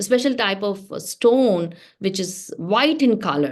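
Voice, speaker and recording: A woman talks at a fairly slow pace in a Telugu accent. The background is quiet. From South India (Telugu-speaking). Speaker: religious teacher. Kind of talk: class for teens.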